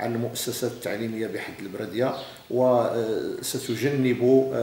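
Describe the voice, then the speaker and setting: A man speaks at a fairly slow pace in a monotone, flat intonation, with audible room echo and light background noise. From Morocco. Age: 50s. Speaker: regional education official. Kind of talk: interview. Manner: formal. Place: office. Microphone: camera far.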